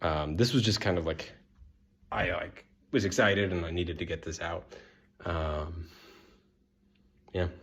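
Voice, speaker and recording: Somewhat breathy, the voice moves at a moderate pace with ordinary pitch variation and long, frequent pauses. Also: man, very deep, low pitch for a man. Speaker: video blogger on personality typology. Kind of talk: casual monologue. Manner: hesitant, many fillers.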